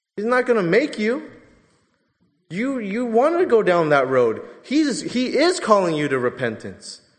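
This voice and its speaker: With audible room echo around him, a man speaks fairly slowly in a high voice that swings very widely in pitch. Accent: American. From Southern California. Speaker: pastor. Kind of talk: sermon.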